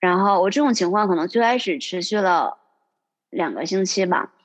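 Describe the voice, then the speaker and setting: Over a quiet background, a woman speaks at a moderate pace with medium pitch and lively intonation in an unremarkable speaking voice. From Northeast China, Liaoning. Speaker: accountant. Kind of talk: casual interview chat. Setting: remote call.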